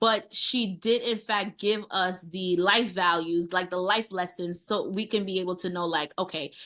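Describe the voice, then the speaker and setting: A woman talks at a moderate pace with a New York accent. Her tone is bright and sharp. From US, Brooklyn, New York. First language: Haitian Creole. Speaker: chef. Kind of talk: interview.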